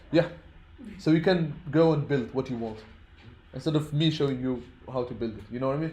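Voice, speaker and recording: Somewhat breathy, the speaker moves at a fairly quick pace with long, frequent pauses and ordinary pitch variation, in audible room echo. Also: man, fairly high pitch for a man. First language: not English (English is his third language). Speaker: programming teacher. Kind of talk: lecture. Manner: halting.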